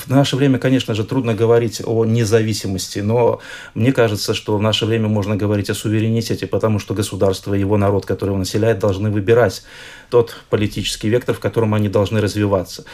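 At a very fast pace, a man delivers his words in a fairly low pitch with monotone, flat intonation. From Belarus. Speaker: historian, institute director. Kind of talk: radio interview. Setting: studio.

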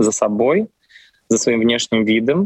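A man's voice at medium pitch. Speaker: opera singer. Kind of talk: interview.

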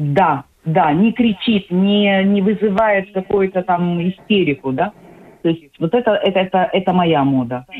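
Speaking at a fairly slow pace, a woman holds very even loudness with a medium pitch and ordinary pitch variation. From Ukraine, Odesa. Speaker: psychological counselor. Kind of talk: radio interview. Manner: hesitant, many fillers.

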